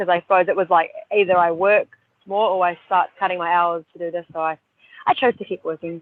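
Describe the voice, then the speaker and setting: The speaker is a woman. She talks with a New Zealand accent. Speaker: personal trainer and ninja warrior competitor. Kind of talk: podcast interview.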